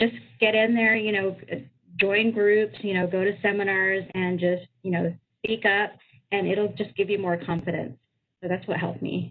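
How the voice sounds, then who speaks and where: In an American accent, a woman talks at a moderate pace with a medium pitch and fairly even intonation. She leaves long, frequent pauses. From US, Filipino American. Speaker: tech leader, webinar panelist. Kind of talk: panel discussion.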